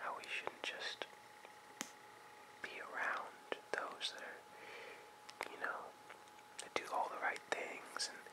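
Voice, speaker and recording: Someone whispers at a very slow pace, leaving long, frequent pauses. Noticeable background noise sits behind the voice. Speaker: ASMR artist. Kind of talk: casual talk to camera. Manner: whispered.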